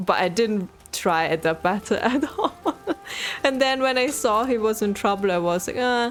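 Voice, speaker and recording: A woman with an Austrian accent speaks at a fairly high pitch with lively intonation over noticeable background noise. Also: moderate pace. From Austria, Vienna. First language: German. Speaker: video game streamer. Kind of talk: casual gameplay commentary. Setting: live stream.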